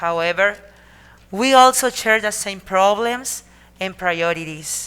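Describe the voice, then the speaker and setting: A woman speaks with a Spanish accent at a very slow pace. Her tone is bright and sharp, with ordinary pitch variation. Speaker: city mayor. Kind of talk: formal speech. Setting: council meeting. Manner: halting.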